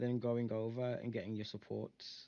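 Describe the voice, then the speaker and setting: A man speaks in a dark, mellow tone. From Britain. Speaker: coaching student, gamer. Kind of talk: coaching session. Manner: halting, many fillers.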